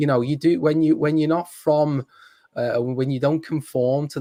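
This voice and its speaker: Speaking at a moderate pace, a man talks with a Liverpool accent. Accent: Scouse (Liverpool). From Liverpool, England. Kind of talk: casual chat.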